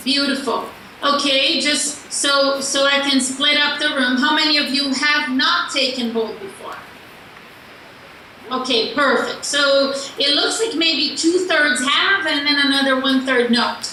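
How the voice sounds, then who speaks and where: A raised, projected voice speaks at a fairly slow pace. Noticeable background noise and audible room echo fill the recording. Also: woman, high pitch for a woman. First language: not English. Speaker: sales coach. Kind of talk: motivational talk. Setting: video call. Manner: animated.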